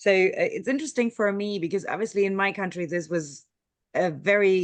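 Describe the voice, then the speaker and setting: In a German accent, a woman speaks at a fairly quick pace. Her pitch is medium, with ordinary variation. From Germany. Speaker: meeting moderator. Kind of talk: online meeting discussion. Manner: halting.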